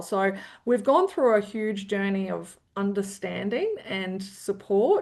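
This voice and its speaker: A woman is speaking with an Australian accent. Her pitch sits in the medium range. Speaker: CEO of an aged care support organisation. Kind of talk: interview conversation. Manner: animated, with frequent repetitions and fillers.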